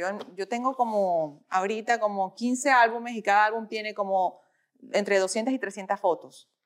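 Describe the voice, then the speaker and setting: Here is an unremarkable speaking voice from a woman, fairly high in pitch. She talks at a moderate pace. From Venezuela. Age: 40s. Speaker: fitness influencer. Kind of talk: casual interview.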